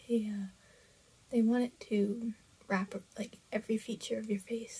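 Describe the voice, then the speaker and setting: Quiet and somewhat breathy, a woman speaks at a moderate pace in a fairly high pitch, with a dark, mellow tone and monotone, flat intonation. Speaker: radiation therapy patient. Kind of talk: personal vlog talk to camera.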